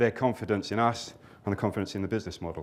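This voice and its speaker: A British accent in a male voice. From Britain. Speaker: company director. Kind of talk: conference presentation.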